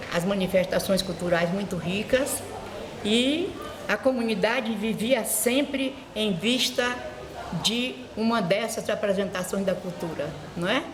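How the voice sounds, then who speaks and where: A woman with a fairly high pitch and ordinary pitch variation speaks at a fairly slow pace, with noticeable background noise and audible room echo. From Brazil, Bahia (Morro de São Paulo). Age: 80s+. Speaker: schoolteacher and vice-principal. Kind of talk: oral history interview. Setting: school.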